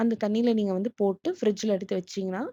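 Pitched fairly high, a woman speaks in a dark, mellow tone, the sound dry and close with no echo against a quiet background. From outside Tamil Nadu, India. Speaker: vlogger. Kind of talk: cooking tutorial and vlog narration. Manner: casual, conversational.

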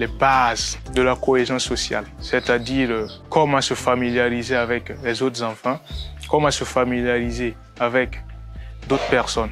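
The speaker talks at a fairly slow pace. Clear music plays in the background, and the sound is dry with no echo. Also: man. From Burkina Faso. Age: young. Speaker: sponsored youth. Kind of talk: testimonial interview answer. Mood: warm, grateful, smiling. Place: street. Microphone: lapel.

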